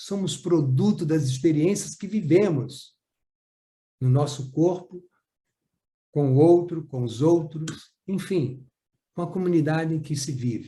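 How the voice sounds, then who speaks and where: Fairly high for a man, his dark, mellow voice moves at a fairly slow pace with ordinary pitch variation. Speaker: psychomotor therapy trainer. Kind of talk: lecture. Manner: clear and easy to follow.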